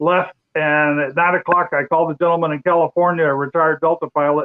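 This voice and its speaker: A man with an American accent and an ordinary speaking voice talks at a fairly quick pace, pitched fairly high, with fairly even intonation. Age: 60s. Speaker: retired amateur racer. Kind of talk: casual chat.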